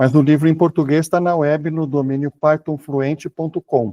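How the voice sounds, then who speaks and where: A man talks at a moderate pace in a dark, mellow tone, with a dry, close sound, no echo and a quiet background. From Brazil. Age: 60s. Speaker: author and programmer. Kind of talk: interview conversation.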